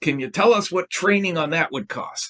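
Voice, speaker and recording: A man speaks at a moderate pace with lively intonation. He has a plain, everyday voice. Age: 60s. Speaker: sales consultant and author. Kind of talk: podcast interview.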